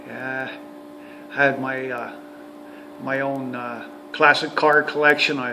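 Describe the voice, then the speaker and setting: A man with a western Canadian accent speaks at medium pitch in a monotone with flat intonation, very slowly, with long, frequent pauses and big swings in loudness over noticeable background noise. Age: 60s. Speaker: retired heavy-duty mechanic and RV vlogger. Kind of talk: casual vlog monologue. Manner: halting, many fillers and repetitions.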